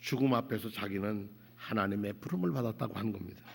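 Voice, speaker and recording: A man talks at a moderate pace on a very clean recording with a silent background. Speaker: pastor. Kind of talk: sermon. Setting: church. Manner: halting, with self-corrections.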